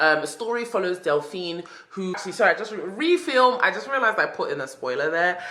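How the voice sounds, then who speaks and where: A woman with a British accent, talking at a very fast pace with very wide pitch swings, over noticeable background noise. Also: medium pitch for a woman. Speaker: book vlogger. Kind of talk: casual video monologue.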